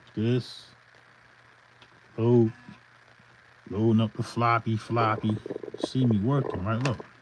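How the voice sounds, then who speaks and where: A man's monotone, flat delivery at medium pitch, very slow, with long, frequent pauses over noticeable background noise. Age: 50s. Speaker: hip hop beat producer. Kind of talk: casual livestream tutorial. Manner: casual, loose and unscripted.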